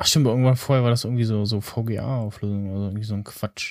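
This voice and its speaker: Speaking at a very fast pace, a man with a medium pitch and fairly even intonation is heard in a dry, close sound with no echo on a very clean recording with a silent background. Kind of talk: casual chat. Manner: easygoing, hesitant, filler-heavy.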